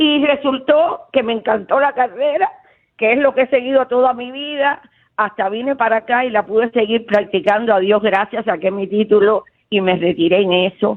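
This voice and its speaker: With a Cuban accent, a woman speaks at a moderate pace in a fairly high pitch with ordinary pitch variation. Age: 70s. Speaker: caller, retired teacher. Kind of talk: call-in radio chat. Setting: phone call. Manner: talkative.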